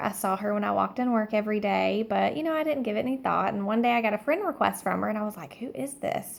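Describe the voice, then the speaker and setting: A quiet woman with a Southern US accent and a fairly high pitch. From Alabama. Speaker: direct sales consultant. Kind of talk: personal story monologue. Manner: hushed, keeping quiet.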